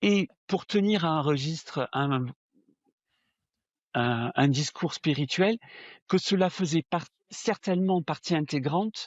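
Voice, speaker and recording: A man with a southern French accent speaks very slowly in a fairly high voice, with lively intonation, long, frequent pauses and very even loudness. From southern France. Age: 60s. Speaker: spiritual medium. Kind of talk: interview testimony. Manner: hesitant, frequent fillers and repetitions.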